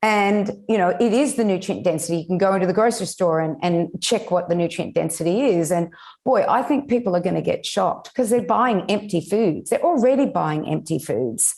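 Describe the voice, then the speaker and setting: Speaking at a fairly quick pace with lively intonation and very even loudness, a woman with an Australian accent and medium pitch is heard in a very clean recording with a silent background. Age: 60s. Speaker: nutritionist and regenerative farmer. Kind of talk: interview podcast.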